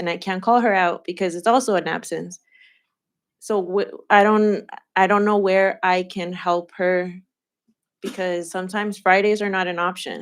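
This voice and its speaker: This woman talks at a medium pitch in a monotone, flat intonation. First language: Spanish. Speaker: parent speaking at a school community meeting. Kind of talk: public comment at a community roundtable. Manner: halting, with false starts.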